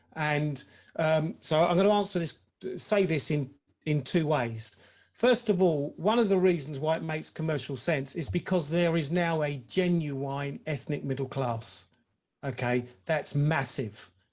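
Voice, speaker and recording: Speaking fairly slowly with an English accent, a man uses a fairly high pitch and ordinary pitch variation. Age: 60s. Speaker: former professional footballer. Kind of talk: webinar discussion.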